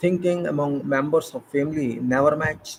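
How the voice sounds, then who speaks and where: Speaking with an Indian accent, a man has a fairly high pitch, ordinary pitch variation and a somewhat breathy voice. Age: 60s. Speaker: retired civil engineer. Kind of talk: informal talk. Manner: halting.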